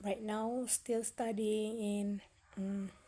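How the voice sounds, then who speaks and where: In an Indonesian accent, a woman speaks very slowly with a fairly high pitch and a dark, mellow tone. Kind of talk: casual talk to camera. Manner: hesitant, slow.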